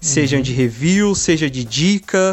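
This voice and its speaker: A man speaks with lively intonation. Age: 20s. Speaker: games journalist. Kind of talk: casual interview. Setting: remote recording from home. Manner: halting, many fillers and repetitions.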